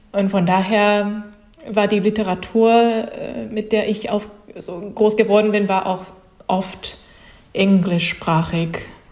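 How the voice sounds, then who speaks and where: Very slow, flat, monotone speech in a Japanese accent, broken by long, frequent pauses, with noticeable background noise. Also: woman, medium pitch for a woman. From Japan, childhood in Russia, USA, Saudi Arabia, France. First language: Japanese (speaking German). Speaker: comic artist and illustrator. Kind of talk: interview. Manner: halting, many fillers.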